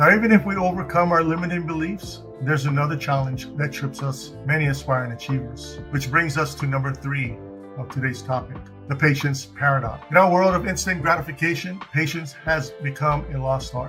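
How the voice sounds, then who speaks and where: A man's fairly high voice at a fairly quick pace, with ordinary pitch variation and music in the background. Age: 40s. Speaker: beginner YouTuber. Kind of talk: motivational talk.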